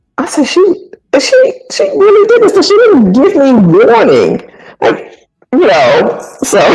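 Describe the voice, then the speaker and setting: Extremely high in pitch, a woman speaks at a fairly slow pace with very wide pitch swings in a room with audible echo. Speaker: retired military sergeant and counselor. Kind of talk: interview. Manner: stammering in places.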